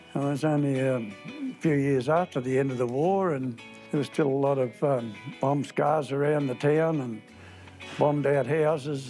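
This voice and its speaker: A man with fairly even intonation and a medium pitch talks at a moderate pace while music plays in the background. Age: old. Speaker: retired football club president. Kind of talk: documentary interview.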